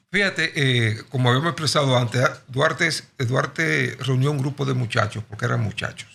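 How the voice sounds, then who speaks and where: A man speaks at a moderate pace with a medium pitch. His pitch swings very widely. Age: 60s. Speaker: nationalist movement leader. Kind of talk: podcast interview.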